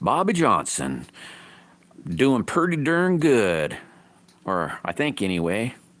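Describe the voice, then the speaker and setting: With vocal fry and a medium pitch, a man speaks at a very slow pace, leaving long, frequent pauses as his pitch swings very widely. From rural area, small country town. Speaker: livestreaming slingshot builder. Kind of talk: casual live stream chat.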